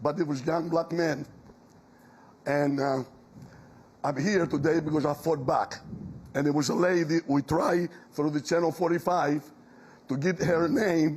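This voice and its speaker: Fairly slow, fairly even delivery with very even loudness, long and frequent pauses, and noticeable background noise. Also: man, fairly high pitch for a man. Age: 70s. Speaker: audience member, veteran. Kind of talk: town hall question.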